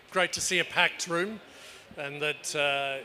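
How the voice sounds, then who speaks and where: A man speaks at a fairly slow pace with ordinary pitch variation. Noticeable background noise runs through the clip. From Australia or New Zealand. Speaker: panel moderator. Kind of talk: panel moderation. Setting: conference room with audience, PA system. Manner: halting, many fillers.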